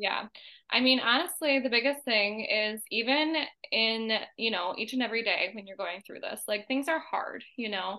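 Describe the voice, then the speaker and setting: A woman with a plain, everyday voice, a fairly high pitch and an American accent, at a moderate pace with ordinary pitch variation and big swings in loudness. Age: 20s. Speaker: occupational therapist, former coaching client. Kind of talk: casual interview chat.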